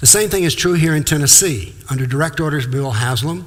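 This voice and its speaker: Over audible room echo, a somewhat breathy man talks at a fairly quick pace with ordinary pitch variation. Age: 70s. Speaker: former professor and lecturer on Islam. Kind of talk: lecture. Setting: talk to live audience, filmed for TV.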